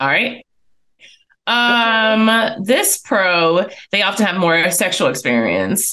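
Speaking at a very slow pace with long, frequent pauses, a woman uses a bright, sharp tone with vocal fry over a quiet background. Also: very even loudness. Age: 30s. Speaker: podcast co-host and business co-owner; podcast co-host. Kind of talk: casual chat. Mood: relaxed, chatty. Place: home room. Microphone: studio mic.

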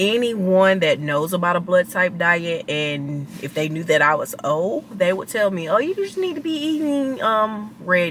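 A woman talks at a fairly slow pace with very wide pitch swings. Light background noise can be heard. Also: dry sound with no echo. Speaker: vlogger. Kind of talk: casual vlog chat. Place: car.

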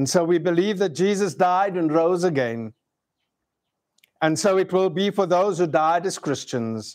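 A man speaks against a quiet background. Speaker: minister leading a memorial service. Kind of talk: scripture reading and prayer. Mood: solemn, measured. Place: garden.

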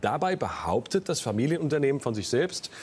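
His pitch swings across a very wide range. It is a man's voice. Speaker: quiz show host. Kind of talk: TV quiz show hosting. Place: studio. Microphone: lapel.

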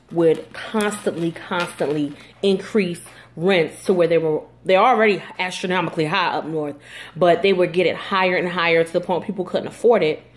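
Using few pauses, a woman talks at a moderate pace in a fairly low pitch with ordinary pitch variation.

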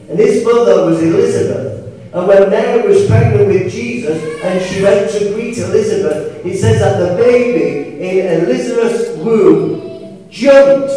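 A man's voice in strong room echo, with light background noise. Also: fairly slow pace. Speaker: preacher. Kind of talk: sermon. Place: church.

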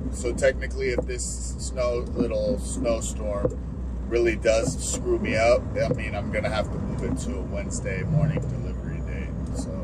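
A man at a moderate pace amid loud background noise. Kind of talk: casual vlog chat. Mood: relaxed, resigned. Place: car. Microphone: camera far.

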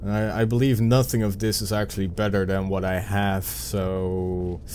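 At a moderate pace, a man with a Dutch accent talks in a fairly low pitch. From Netherlands. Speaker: gaming video creator. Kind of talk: let's play gameplay commentary. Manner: casual and chatty.

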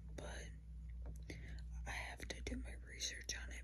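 A soft-spoken woman whispers at a fairly slow pace. Noticeable background noise can be heard. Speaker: ASMR creator. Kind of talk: ASMR whisper ramble, casual talk to camera. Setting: indoors at night, neighbors and thunder audible in background. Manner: whispered, soft-spoken. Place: home room. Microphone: phone near.

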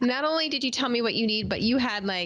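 A woman's voice with ordinary pitch variation. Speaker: podcast host. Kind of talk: interview answer. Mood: warm, reflective, some laughter. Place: home room. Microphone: studio mic.

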